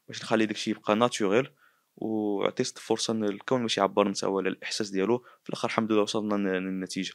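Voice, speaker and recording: A man talks at a very fast pace with a fairly low pitch. The sound is dry with no echo, and the background is quiet. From Morocco. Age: 20s. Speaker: painter and artist; interviewee. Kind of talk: interview testimony. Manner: halting. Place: home room. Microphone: handheld.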